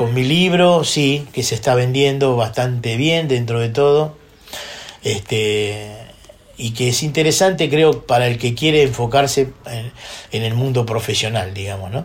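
Noticeable background noise surrounds a man who speaks with a Rioplatense accent. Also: medium pitch for a man, ordinary pitch variation, fairly slow pace. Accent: Rioplatense Spanish (porteño). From Buenos Aires, Argentina. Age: 60s. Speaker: drummer. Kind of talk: interview. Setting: his home studio.

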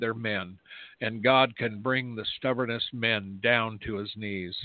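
A man's medium-pitched voice with an American accent, at a fairly slow pace with fairly even intonation. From US Mountain West, near Yellowstone. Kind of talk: talk radio news commentary. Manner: casual, hesitant with fillers.

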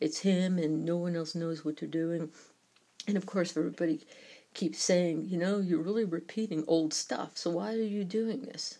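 A woman speaks at a moderate pace in an American accent. Her voice is fairly low in pitch, dark and mellow in tone, with ordinary pitch variation. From New York. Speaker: podcaster on UFO topics. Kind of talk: solo podcast commentary.

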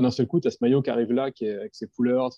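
This man's voice sits at a medium pitch, with a dark, mellow tone and a dry, close sound with no echo. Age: 30s. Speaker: graphic designer and director. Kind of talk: casual chat. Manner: halting.

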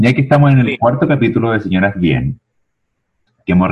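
A man is speaking. His pitch swings very widely. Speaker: podcast co-host. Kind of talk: casual comedic chat. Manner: animated.

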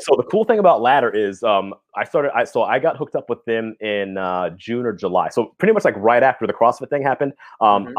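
A man talks at a very fast pace, his tone intense and his intonation lively. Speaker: gym owner and fitness coach, podcast guest. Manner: fast talker; intense, high-energy delivery.

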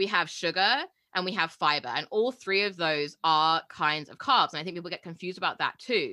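On a very clean recording with a silent background, a woman talks fairly quickly at a medium pitch with a bright, sharp tone. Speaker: podcast co-host and coach. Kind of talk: casual chat. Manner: fast talker.

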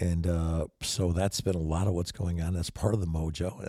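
A man speaks with a very deep, low pitch and a dark, mellow tone that is somewhat breathy. The recording is very clean, with a silent background. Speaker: podcast host and photographer. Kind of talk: casual monologue. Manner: animated.

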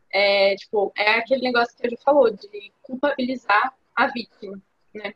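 An unremarkable speaking voice from a woman, fairly high in pitch, at a moderate pace, with ordinary pitch variation and big swings in loudness. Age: 20s. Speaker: university student, podcast co-host. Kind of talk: casual interview chat.

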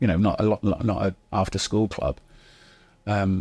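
A northwest English accent at a moderate pace, in a very clean recording with a silent background. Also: man. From Chester, northwest England. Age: 50s. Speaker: actor. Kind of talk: casual interview.

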